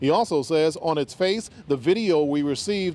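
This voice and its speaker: This man's delivery moves at a moderate speed, and his pitch rises and falls in an ordinary way. No echo colors the dry recording. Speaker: TV news reporter. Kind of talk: news report.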